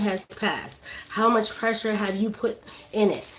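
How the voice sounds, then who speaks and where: A woman talks with a Brooklyn accent at a moderate pace. Her pitch is fairly high and her tone animated. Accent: New York (Brooklyn). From New York, Brooklyn. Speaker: cannabis hash maker and streamer. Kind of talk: live-stream tutorial.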